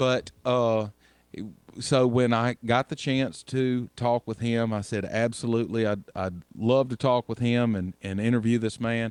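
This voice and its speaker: With a Southern US accent, a man speaks at a fairly slow pace and medium pitch, his intonation fairly even and the sound dry and close with no echo. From US South. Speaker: radio host. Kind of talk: radio show hosting.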